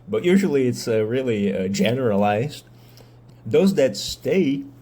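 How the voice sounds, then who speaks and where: A man's dark, mellow voice in a Brazilian accent, at a fairly slow pace, with audible room echo. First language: Portuguese. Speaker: medical student and mental health video creator. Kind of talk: casual monologue vlog. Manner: hesitant with fillers.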